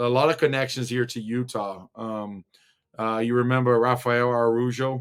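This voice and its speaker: A man's medium-pitched voice, monotone and flat, at a fairly slow pace. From Brazil, São Paulo. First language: Portuguese. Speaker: former college basketball player. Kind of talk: casual interview. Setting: video call. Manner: halting, many fillers.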